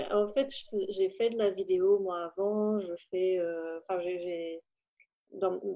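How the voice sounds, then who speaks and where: A woman speaks with fairly even intonation. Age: 30s. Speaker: mother, family podcaster. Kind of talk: casual podcast interview. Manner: hesitant, with fillers.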